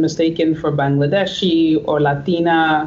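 Amid noticeable background noise, a woman speaks at a fairly slow pace with a fairly low pitch. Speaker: podcast co-host. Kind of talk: casual podcast conversation.

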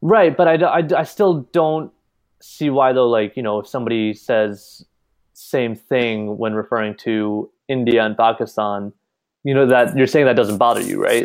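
A man with a New York accent, at a moderate pace. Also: medium pitch for a man, ordinary pitch variation. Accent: American English, New York. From US Northeast, New York. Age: 20s. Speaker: college student. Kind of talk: casual chat.

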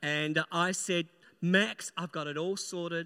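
On a very clean recording with a silent background, a man speaks fairly slowly, his pitch high and his tone bright and sharp. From New Zealand. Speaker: pastor. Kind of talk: sermon. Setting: church.

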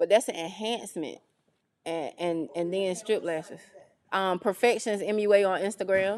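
In a North Carolina accent, a woman talks at a moderate pace with a medium pitch and ordinary pitch variation, against a quiet background. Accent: Southern US (North Carolina). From US South, rural northeastern North Carolina. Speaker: radio personality and esthetician. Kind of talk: interview, casual chat. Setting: video podcast studio, recorded on camera.

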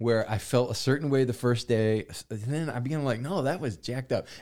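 In a very clean recording with a silent background, a man talks fairly quickly at a medium pitch in a plain, everyday voice. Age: 40s. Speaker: pastor and podcast host. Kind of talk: casual chat.

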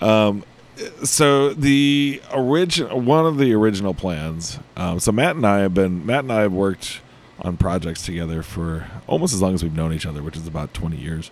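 With an American accent, a man with a fairly low pitch talks at a moderate pace, his pitch swinging very widely. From US Midwest, Illinois. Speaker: head brewer and brewery co-founder. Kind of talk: casual interview chat. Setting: brewery space in Chicago.

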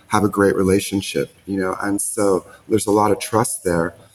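Music plays in the background as a man speaks. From San Francisco. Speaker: immersive art entrepreneur. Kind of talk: casual interview. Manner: halting.

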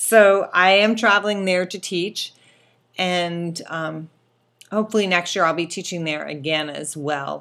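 In a normal speaking voice, a woman with a fairly low pitch talks at a fairly slow pace, her intonation fairly even but her loudness swinging widely, on a very clean recording with a silent background. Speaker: quilting podcaster and teacher. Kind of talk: casual solo chat. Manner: casual with frequent fillers.

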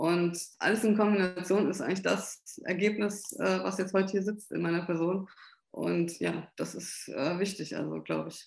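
Her pitch is medium and her intonation fairly even. A woman talks at a fairly slow pace in an unremarkable speaking voice. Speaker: Parkinson patient and patient advocate. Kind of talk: interview.

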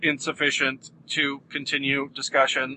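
A man's put-on robotic character voice, fairly high-pitched, at a moderate pace. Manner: monotone.

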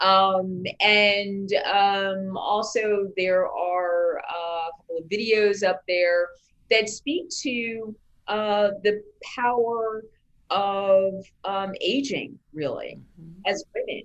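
Speaking very slowly, a woman with an American accent shows ordinary pitch variation. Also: medium pitch for a woman. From New York. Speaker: media company founder and editor. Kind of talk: interview.

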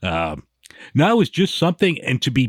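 With an American accent, a man is talking. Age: 50s. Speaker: beer podcaster. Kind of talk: casual chat.

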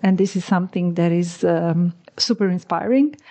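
At a moderate pace, a woman speaks with medium pitch and fairly even intonation in an unremarkable speaking voice. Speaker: podcast host. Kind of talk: interview, conversational.

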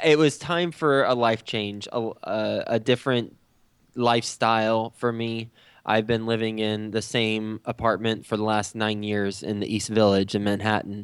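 A man speaks with an American accent and fairly even intonation. The recording is very clean, with a silent background. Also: medium pitch for a man, moderate pace. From Texas. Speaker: real estate investor and podcast host. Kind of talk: interview. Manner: halting, many fillers and repeats.

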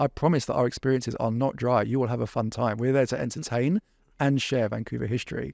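Against a quiet background, a man with an English accent talks at a very fast pace, his medium pitch held in fairly even intonation. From England. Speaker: walking tour company founder. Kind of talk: casual chat.

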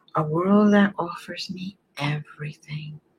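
A woman speaks in a gentle, soothing tone, somewhat breathy, with ordinary pitch variation. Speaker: reiki healer. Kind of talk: guided meditation. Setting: online stream. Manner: slow, soothing, calm; soft-spoken, gentle.

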